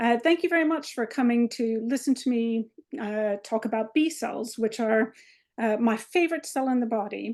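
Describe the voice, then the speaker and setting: Against a quiet background, a woman with an American accent and an unremarkable speaking voice talks at a fairly high pitch and moderate pace, with ordinary pitch variation. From US, Maryland. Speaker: biomedical researcher, associate professor. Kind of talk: lecture. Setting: video call webinar.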